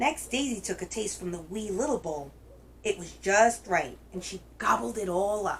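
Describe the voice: The speaker reads aloud plainly, with ordinary pitch variation.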